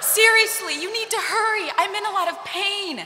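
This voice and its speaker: Putting on a character voice, a woman strains at an extremely high pitch, keeping a fairly even intonation at a moderate pace. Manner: strained; speaking through gritted teeth.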